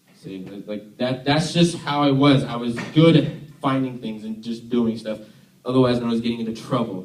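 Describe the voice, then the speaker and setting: There is audible room echo as a man talks at a moderate pace in a somewhat breathy voice. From US, Army family; born Tennessee. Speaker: youth worship leader. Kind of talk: sermon. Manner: casual, halting with fillers.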